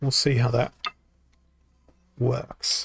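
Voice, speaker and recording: A man speaks with an Australian accent in a relaxed tone. His pace is very slow. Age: 30s. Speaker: video game streamer. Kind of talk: gameplay livestream commentary. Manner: relaxed, hesitant with many fillers.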